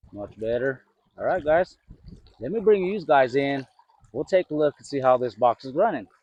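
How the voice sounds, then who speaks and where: A fairly high-pitched man at a moderate pace, with lively intonation, long, frequent pauses and big swings in loudness. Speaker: gold prospecting vlogger. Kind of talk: casual outdoor vlog narration. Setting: outdoors at a creek. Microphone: new clip-on mic.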